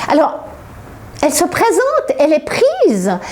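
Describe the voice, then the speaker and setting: A woman's fairly slow speech over noticeable background noise. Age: 60s. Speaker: author. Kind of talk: interview. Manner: halting.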